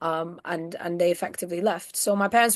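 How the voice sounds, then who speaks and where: A woman with a northern English accent and a fairly low pitch speaks at a moderate pace against a quiet background. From northern England. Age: 20s. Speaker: activist. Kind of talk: interview.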